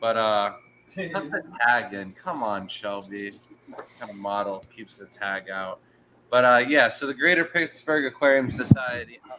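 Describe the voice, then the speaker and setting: Man at medium pitch with lively intonation and a fairly slow pace, amid noticeable background noise. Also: big swings in loudness. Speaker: aquascaping podcast host. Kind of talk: casual chat. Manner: loud; animated.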